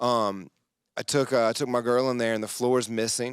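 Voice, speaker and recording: A man's moderate-paced speech with a North Carolina accent at a medium pitch, in a very clean recording with a silent background. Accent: Southern US (North Carolina). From rural North Carolina (Yanceyville). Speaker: comedian. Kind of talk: casual podcast chat. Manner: animated.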